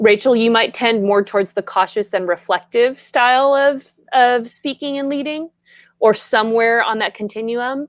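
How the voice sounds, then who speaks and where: A woman talks at a moderate pace with ordinary pitch variation. The sound is dry and close with no echo, over a quiet background. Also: fairly high pitch for a woman. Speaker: leadership coach. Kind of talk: casual chat. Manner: animated.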